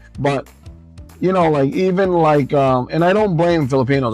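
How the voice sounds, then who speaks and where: A man talks at a moderate pace in a New York accent. His pitch variation is ordinary. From Long Island, New York. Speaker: vlogger. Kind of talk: casual talk to camera while driving. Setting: in a car. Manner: impromptu, conversational.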